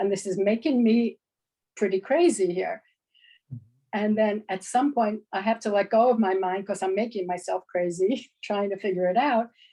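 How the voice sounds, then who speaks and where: A woman's dark, mellow tone at a moderate pace, with ordinary pitch variation. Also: medium pitch for a woman. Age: 70s. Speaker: class participant. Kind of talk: class discussion.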